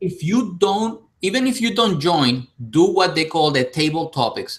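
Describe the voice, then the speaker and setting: A man with a Spanish accent, high pitch, ordinary pitch variation and moderate pace. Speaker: YouTuber. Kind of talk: casual chat. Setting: live stream.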